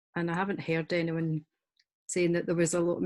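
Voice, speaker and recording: A woman speaks with a Scottish accent. Her pitch is fairly low. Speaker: author. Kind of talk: panel discussion.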